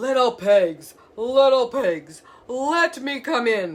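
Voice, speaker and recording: In a put-on character voice, the speaker growls at a fairly high pitch and a very slow pace. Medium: read story.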